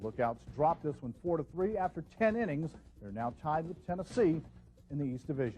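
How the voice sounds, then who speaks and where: A man's fairly high, somewhat breathy voice with a dark, mellow tone, very wide pitch swings and a fairly quick pace. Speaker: TV sports anchor. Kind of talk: broadcast sportscast anchor read.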